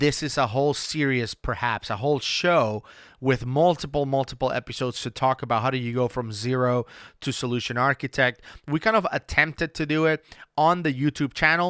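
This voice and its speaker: Medium-pitched man with a Spanish accent and a bright, sharp tone, recorded dry and close with no echo on a very clean, silent background. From Venezuela. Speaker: podcast host and CRM consultant. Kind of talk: casual solo podcast talk. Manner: hesitant, many fillers and restarts.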